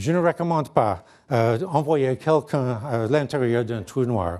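A man with an English accent speaks at a very slow pace with lively intonation. His medium-pitched voice has a dark, mellow tone against a quiet background. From Canada, near Niagara Falls; Canada. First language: English (speaking French). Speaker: physicist; guest lecturer. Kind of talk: lecture. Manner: halting, frequent hesitations. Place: hall.

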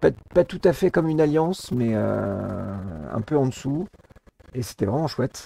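A man's voice swings very widely in pitch, broken by long, frequent pauses. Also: medium pitch for a man, fairly slow pace. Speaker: gaming YouTuber. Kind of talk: casual chat.

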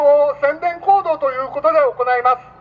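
An extremely high-pitched man speaks with ordinary pitch variation. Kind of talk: rally announcement. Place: street.

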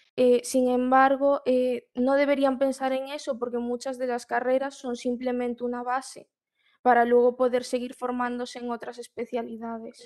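With a Galician accent, a woman speaks at a moderate pace and a high pitch in a monotone, flat intonation against a quiet background. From Galicia, Spain (Marín); Galicia, Spain. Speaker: student, program participant. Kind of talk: panel interview. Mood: calm, encouraging advice. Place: home room. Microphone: video call.

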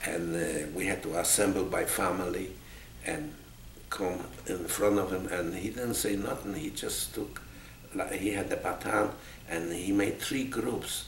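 Amid audible room echo and noticeable background noise, a man with a fairly low pitch and lively intonation talks at a fairly slow pace, with long, frequent pauses. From Poland. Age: 80s+. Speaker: Holocaust survivor and army veteran. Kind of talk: oral history interview. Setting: museum.

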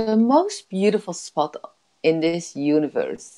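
A woman speaks in a Dutch accent with a dark, mellow, soothing tone. The background is quiet. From Netherlands. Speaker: life coach. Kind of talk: guided meditation. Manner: slow, soothing. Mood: warm, soothing, upbeat. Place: home room. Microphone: earbuds.

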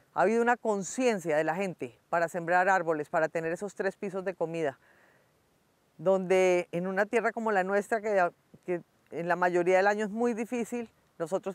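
A woman's ordinary speaking voice, its pitch moving in an ordinary way. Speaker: cattle farmer. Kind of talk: address to viewers.

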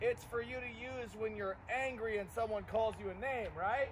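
With light background noise behind him, a man speaks at a moderate pace with ordinary pitch variation. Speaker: martial arts instructor. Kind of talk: class instruction to children. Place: open country.

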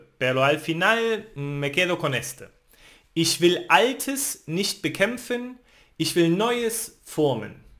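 A man with a German accent, high-pitched for a man, very slow, with very wide pitch swings over a quiet background. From Germany, Thuringia. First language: German (speaking Spanish). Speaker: language teacher. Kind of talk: tutorial. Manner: halting.

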